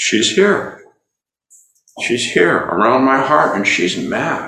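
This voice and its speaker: A man talks at a very slow pace with vocal fry, lively intonation and a bright, sharp tone. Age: 70s. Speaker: meditation teacher. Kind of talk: dharma talk. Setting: in-person group with online attendees.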